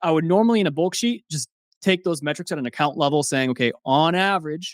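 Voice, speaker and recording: Recorded very cleanly against a silent background, a man talks very fast in an animated tone at a fairly high pitch with ordinary pitch variation, the sound dry and close with no echo. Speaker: software founder, Amazon ads expert. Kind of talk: casual interview chat.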